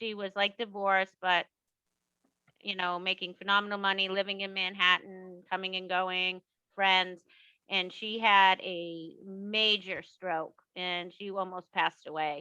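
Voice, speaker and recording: With a Boston accent, a woman speaks at a medium pitch and a fairly slow pace. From Boston, US Northeast. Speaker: author. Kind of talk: casual interview. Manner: animated.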